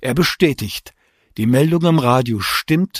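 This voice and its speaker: A man with a normal speaking voice talks at a fairly slow pace in a medium pitch with ordinary pitch variation, on a very clean recording with a silent background. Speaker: podcast host and author. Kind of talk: true-crime narration. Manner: measured, sober, factual; serious, documentary tone.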